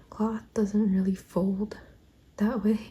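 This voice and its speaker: This soft-spoken voice keeps a fairly slow pace. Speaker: vlogger and artist. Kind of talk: casual vlog narration. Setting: at home, family sleeping. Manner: quiet, soft-spoken.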